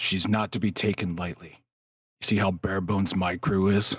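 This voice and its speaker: A raspy, put-on character voice moves at a moderate pace with fairly even intonation. The recording is very clean, with a silent background. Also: man, very deep, low pitch for a man. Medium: actual play. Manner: gruff, curt, commanding.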